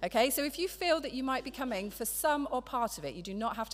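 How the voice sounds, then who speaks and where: With an English accent, a woman races along at a very fast pace, her pitch swinging very widely. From England. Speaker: church member. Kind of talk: church announcements and scripture reading. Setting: church. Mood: friendly, practical. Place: church. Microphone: podium.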